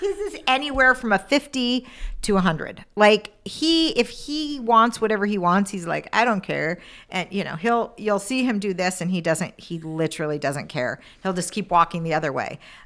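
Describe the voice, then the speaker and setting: Loud and at a moderate pace, a woman speaks. Her pitch swings very widely. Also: medium pitch for a woman, very clean recording, silent background. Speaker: dog trainer. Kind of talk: casual chat.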